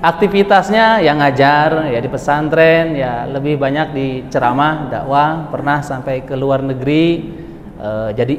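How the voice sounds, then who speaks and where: Through audible room echo and noticeable background noise, a man with a West Javanese accent talks at a very slow pace in a fairly high pitch with ordinary pitch variation. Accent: noticeable West Java. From West Java, Bogor. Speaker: Islamic preacher. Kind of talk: religious lecture. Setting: mosque with audience. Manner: casual, conversational with audience.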